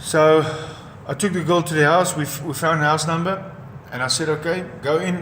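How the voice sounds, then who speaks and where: With a South African accent, a man speaks fairly quickly in a fairly high voice with fairly even intonation, amid noticeable background noise and audible room echo. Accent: South African (Afrikaans) English. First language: Afrikaans. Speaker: former professional boxer. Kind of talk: personal testimony. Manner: halting, with repetitions.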